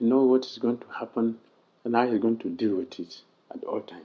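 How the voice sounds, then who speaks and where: A man speaks quietly. He has a non-native accent. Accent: heavy non-native. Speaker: monk, religious teacher. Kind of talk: religious lecture. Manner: volume swings between quiet and loud.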